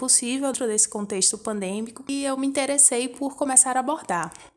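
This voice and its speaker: Noticeable background noise behind a female speaker. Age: 20s. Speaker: podcast host, dance teacher and embroiderer. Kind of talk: personal monologue podcast.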